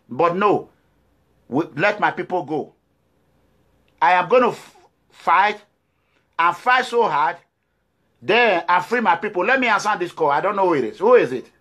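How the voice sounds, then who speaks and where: A man with a Nigerian accent speaks at a moderate pace with long, frequent pauses, in a high pitch with lively intonation. His tone is animated, bright and sharp, over a quiet background. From Nigeria, Edo State. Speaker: political activist. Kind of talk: political address to viewers. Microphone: phone near.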